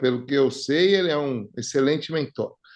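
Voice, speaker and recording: A man with a plain, everyday voice speaks at a fairly high pitch and a moderate pace. His pitch varies in an ordinary way against a quiet background. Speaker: podcast host. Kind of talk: casual interview chat. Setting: home studio.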